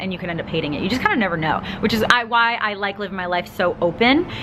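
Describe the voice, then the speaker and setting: Noticeable background noise sits behind a woman speaking at a very fast pace with lively intonation. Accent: Long Island. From Long Island, New York. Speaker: vlogger. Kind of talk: personal Q&A vlog. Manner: casual, filler-heavy.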